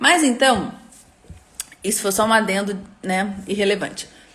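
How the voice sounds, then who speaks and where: Audible room echo surrounds a woman with a medium-pitched voice. She keeps a moderate pace and fairly even intonation. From Rio de Janeiro, Brazil. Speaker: educator and online course creator. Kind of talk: live stream talk to course participants. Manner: informal, chatty with many fillers.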